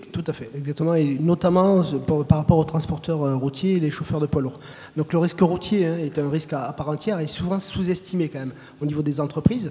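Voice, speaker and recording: Over noticeable background noise, a man speaks fairly quickly in a fairly high voice with fairly even intonation. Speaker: road safety official. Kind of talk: panel discussion.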